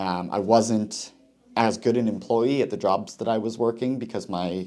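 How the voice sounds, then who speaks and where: A man speaks with a Canadian accent at medium pitch. He has an ordinary speaking voice with ordinary pitch variation. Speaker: cannabis user sharing experience. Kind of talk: personal testimony. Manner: frequent fillers (um).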